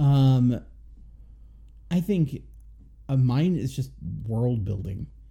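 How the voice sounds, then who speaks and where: A man with a dark, mellow tone and a somewhat breathy medium pitch speaks at a very slow pace. His intonation is lively, broken by long, frequent pauses. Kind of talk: casual chat, movie review podcast.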